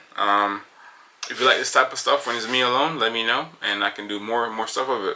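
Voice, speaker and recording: With noticeable background noise behind him, a man at medium pitch talks at a fairly quick pace with fairly even intonation. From Jamaica, moved to Paterson, New Jersey at 14. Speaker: podcast host, construction company co-owner. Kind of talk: solo casual monologue. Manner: fast; hesitant, many fillers.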